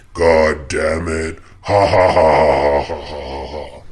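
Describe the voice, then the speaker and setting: A man's raspy, put-on character voice, very deep and low, at a very slow pace. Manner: menacing, laughing.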